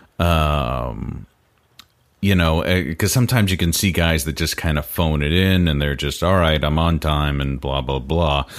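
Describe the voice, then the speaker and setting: A man speaks at a moderate pace in a very deep, low voice. His pitch varies in an ordinary way. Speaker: podcast interviewer. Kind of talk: interview questions.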